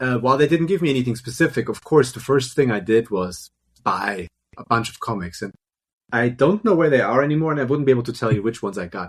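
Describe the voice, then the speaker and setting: A somewhat breathy man talks at a fairly quick pace with lively intonation. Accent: German. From Germany. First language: German. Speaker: film and television composer. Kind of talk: interview conversation. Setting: live stream.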